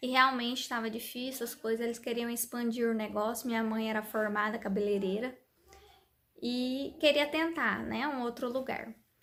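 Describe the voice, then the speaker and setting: Holding fairly even intonation, a woman's high-pitched voice moves at a moderate pace. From interior São Paulo state (Bauru). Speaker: vlogger, mother of three. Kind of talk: personal life story, casual vlog. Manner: conversational, frequent 'né' tags.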